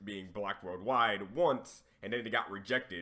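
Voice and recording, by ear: A man speaks at a moderate pace. His raspy voice has a bright, sharp tone.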